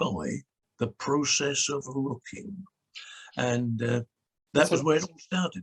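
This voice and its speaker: In a dry, close sound with no echo, a man with a British accent speaks at a fairly slow pace with long, frequent pauses, his fairly high, somewhat breathy voice showing ordinary pitch variation. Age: 80s+. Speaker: clergyman and former TV presenter. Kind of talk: interview answer. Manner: lively, animated storytelling.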